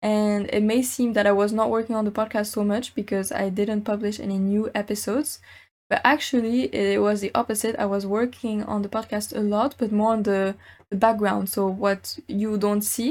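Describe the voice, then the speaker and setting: A woman with an American accent speaks in a plain, everyday voice, fairly high in pitch and fairly even in intonation. She keeps a moderate pace on a very clean recording with a silent background. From France, then Mexico, US, Germany. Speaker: podcast host. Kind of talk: solo podcast monologue.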